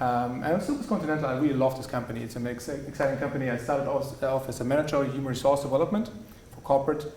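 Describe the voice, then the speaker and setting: A man with a German accent at a very fast pace and a fairly high pitch, with ordinary pitch variation, audible room echo, and noticeable background noise. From Germany, Swabia (Tübingen). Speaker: business executive. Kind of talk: guest talk. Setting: university lecture hall. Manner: hesitant, many fillers.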